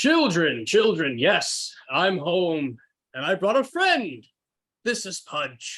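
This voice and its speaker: A put-on character voice with very wide pitch swings. It moves at a very slow pace. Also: man, high pitch for a man. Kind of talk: hammy radio serial acting. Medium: actual play.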